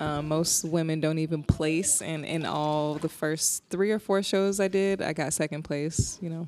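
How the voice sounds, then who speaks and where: Music in the background beneath a woman with an American accent, very deep, low pitch, fairly even intonation, a fairly slow pace, and hardly any pauses. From New Jersey, military brat (various places). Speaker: charity co-founder and personal trainer. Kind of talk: casual chat. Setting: recorded on a trip in Togo.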